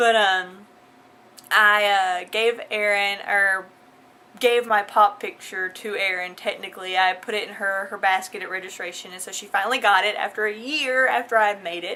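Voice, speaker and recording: In a Southern US accent, a woman speaks at a medium pitch with fairly even intonation. Her loudness swings widely. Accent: southern drawl. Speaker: vlogger. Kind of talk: casual vlog.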